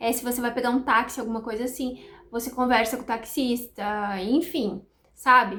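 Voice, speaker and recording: A woman speaks at a fairly high pitch with fairly even intonation. Her pace is moderate, and she has an ordinary speaking voice. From Brazil, countryside. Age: 30s. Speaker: nutritionist, vlogger. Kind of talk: casual vlog chat. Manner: chatty, fluent.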